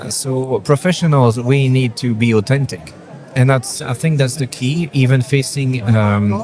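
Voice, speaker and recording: A man speaks at a moderate pace in a medium pitch, with ordinary pitch variation and music in the background. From Belgium. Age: 30s. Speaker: photographer. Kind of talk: interview. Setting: trade show.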